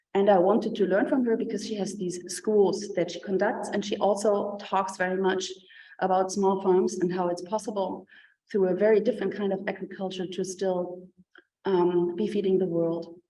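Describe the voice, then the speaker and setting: With a German accent, a woman talks at a moderate pace in monotone, flat intonation, and the room echo is audible. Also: medium pitch for a woman. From Germany. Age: 50s. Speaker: professor and artist. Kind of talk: lecture. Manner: hesitant, many fillers.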